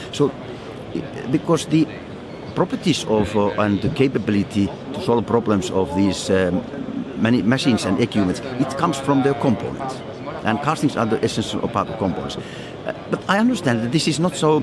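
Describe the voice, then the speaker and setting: A medium-pitched man with a Finnish accent, music playing in the background. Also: lively intonation, moderate pace. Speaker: foundry managing director. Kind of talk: interview. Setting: trade fair. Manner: halting, with repetitions.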